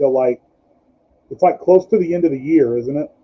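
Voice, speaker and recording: A man's voice with lively intonation. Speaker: wrestling podcast host. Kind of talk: live-stream casual chat.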